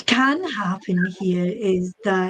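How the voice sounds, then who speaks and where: A woman speaks in a Scottish accent. Her pitch variation is ordinary. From Scotland. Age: 60s. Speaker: psychic medium. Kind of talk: interview on a chat show. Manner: hesitant, with many fillers and repeats.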